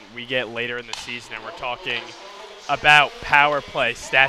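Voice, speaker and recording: A man at a moderate pace, relaxed in tone with ordinary pitch variation, dry sound with no echo and noticeable background noise. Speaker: sports commentator. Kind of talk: live sports commentary over hockey game highlights. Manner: excitable on goals, then relaxed analytical asides. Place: stadium.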